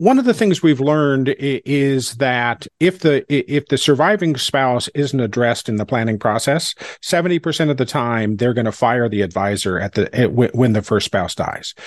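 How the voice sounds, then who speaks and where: An ordinary speaking voice from a man, medium in pitch, with lively intonation at a moderate pace over a quiet background. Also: dry, close sound with no echo. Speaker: podcast host. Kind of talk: interview conversation.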